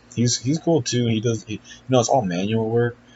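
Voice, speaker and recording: This man's voice is somewhat breathy, and he talks at a fairly quick pace. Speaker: athlete vlogger. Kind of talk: casual vlog. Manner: filler-heavy, casual.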